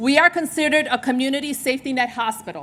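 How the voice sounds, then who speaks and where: In a New York accent, the speaker's bright, sharp tone moves with ordinary pitch variation. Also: woman. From New York, Puerto Rican family. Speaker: hospital executive. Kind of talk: speech at a charity luncheon. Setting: stage with audience.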